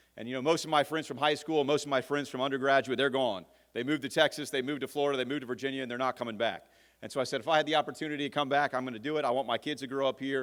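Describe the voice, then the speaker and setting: A man with a Louisiana accent, medium in pitch, energetic in tone and very fast, on a very clean recording with a silent background. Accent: Louisiana Southern American. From Louisiana, Mandeville (North Shore). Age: 30s. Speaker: political candidate. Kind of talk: campaign speech at candidate forum. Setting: forum stage with audience.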